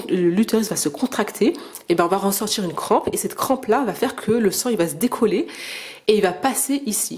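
A woman's fairly high voice at a fairly quick pace, with lively intonation over noticeable background noise. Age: 30s. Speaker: video blogger. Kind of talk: personal testimony and advice monologue. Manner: halting, many fillers and repetitions.

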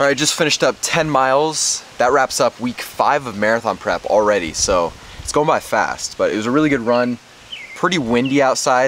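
A man's voice at a moderate pace with ordinary pitch variation, dry with no echo, over light background noise. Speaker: running vlogger. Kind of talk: casual vlog chat. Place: garden. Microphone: phone near.

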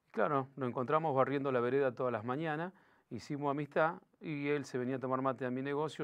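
A man is speaking. His pace is very fast. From Greater Buenos Aires, Argentina (Los Polvorines); Buenos Aires, Argentina. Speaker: local political candidate; candidate. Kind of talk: interview. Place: studio. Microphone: lapel.

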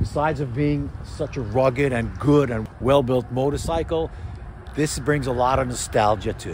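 The sound is dry with no echo, but noticeable background noise comes through. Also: man. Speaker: motorcycle vlogger. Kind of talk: casual vlog chat. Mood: enthusiastic, nostalgic. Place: street. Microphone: phone near.

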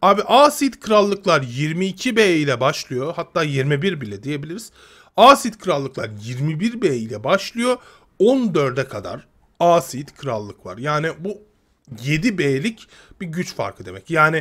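A man with fairly high pitch, very wide pitch swings and big swings in loudness, talking at a very slow pace against a quiet background. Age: 30s. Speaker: gaming youtuber; gaming streamer. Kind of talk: casual video commentary. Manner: halting, many fillers.

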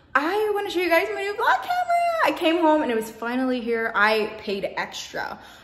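A high-pitched woman at a fairly quick pace, with audible room echo. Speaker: hair vlogger. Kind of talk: casual vlog chat. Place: home room. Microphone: phone near.

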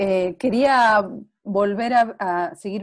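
Set against a quiet background, a woman's medium-pitched voice shows ordinary pitch variation. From Argentina. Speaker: interviewer, web series host. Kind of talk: casual interview. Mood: warm, friendly. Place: home room. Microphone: earbuds.

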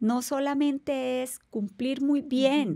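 The background stays quiet while a woman talks. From Colombia. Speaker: navy rear admiral; podcast guest. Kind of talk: interview. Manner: formal. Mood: warm, composed, reflective. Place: studio. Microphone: studio mic.

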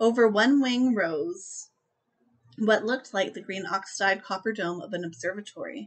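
Speaking at a moderate pace, a woman sounds enthusiastic, her intonation lively. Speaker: book reviewer vlogger. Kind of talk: audiobook-style reading aloud of novel passages, in a steady narrator's cadence; casual book review to camera. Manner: measured, descriptive narration with even pacing, a storyteller's tone; chatty, enthusiastic, with filler words and laughs. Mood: calm storytelling tone. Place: home room. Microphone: webcam.

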